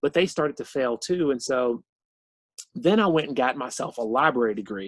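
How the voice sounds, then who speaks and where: This is a man with a Southern US accent. His intonation is lively. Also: dry, close sound with no echo, quiet background. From southwestern Virginia. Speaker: cartoonist and author. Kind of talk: author talk. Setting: video call. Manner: conversational, many fillers.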